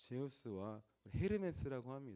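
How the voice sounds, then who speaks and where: Speaking at a moderate pace, a man with a dark, mellow tone swings his pitch very widely. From Chungcheong, South Korea. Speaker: pastor. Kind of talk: sermon.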